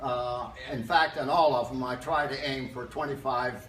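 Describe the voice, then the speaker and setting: With noticeable background noise and audible room echo, a man speaks slowly-ish at a medium pitch with fairly even intonation. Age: 90s. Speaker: fitness enthusiast retiree. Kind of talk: casual interview. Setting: gym fitness room. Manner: halting.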